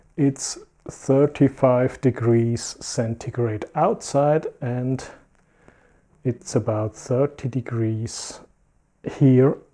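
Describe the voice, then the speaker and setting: The delivery is very slow. Long pauses come often. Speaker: electronics repair youtuber. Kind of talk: tutorial. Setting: home lab workshop.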